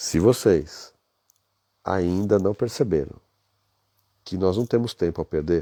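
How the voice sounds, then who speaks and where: A man with a very deep, low voice and a dark, mellow tone speaks at a very slow pace, with ordinary pitch variation and long, frequent pauses. The recording is very clean with a silent background, and the sound is dry and close, with no echo. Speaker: business leadership coach. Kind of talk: live stream talk. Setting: hotel room at night. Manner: soft-spoken.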